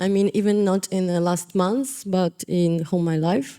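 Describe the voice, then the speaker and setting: Her voice has a dark, mellow tone, and the woman sits at a medium pitch. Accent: Ukrainian. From Eastern Ukraine. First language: Russian. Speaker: visual artist. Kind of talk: panel discussion. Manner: halting, hesitant.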